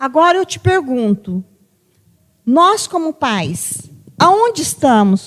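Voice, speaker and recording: A woman talks with very wide pitch swings. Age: 60s. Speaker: psychologist. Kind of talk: podcast conversation.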